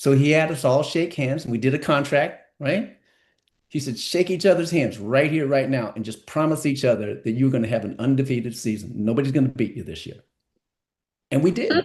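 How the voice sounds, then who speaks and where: Here a man talks at a fairly quick pace in a fairly high pitch with ordinary variation, in an unremarkable speaking voice. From San Francisco, California. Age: 60s. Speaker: entertainment lawyer and musician. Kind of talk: podcast interview.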